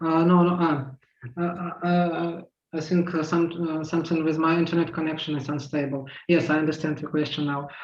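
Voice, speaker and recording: With a Russian accent, a man talks at a moderate pace in a fairly high pitch, his intonation monotone and flat. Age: 40s. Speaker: transgender activist panelist. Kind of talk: casual pre-event chat. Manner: halting, many fillers. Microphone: unstable internet connection.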